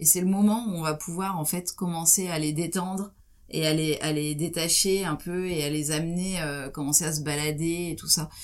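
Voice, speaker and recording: An ordinary speaking voice from a woman, fairly low in pitch, with fairly even intonation and a moderate pace, in a very clean recording with a silent background. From France, Champagne (Troyes). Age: 40s. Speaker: ocean explorer and expedition leader. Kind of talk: interview.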